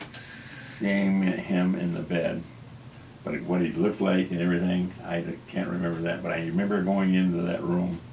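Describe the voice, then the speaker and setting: This man has a very deep, low voice and an American accent. He speaks at a moderate pace in a flat monotone, with audible room echo. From Kansas, US Midwest. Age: 70s. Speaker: artist and civil rights activist. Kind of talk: interview. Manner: halting.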